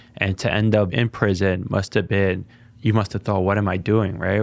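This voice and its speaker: In a very clean recording with a silent background, a man with an American accent and a plain, everyday voice talks at a fairly quick pace, with fairly even intonation and a fairly low pitch. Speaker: podcast host and city council member. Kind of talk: interview.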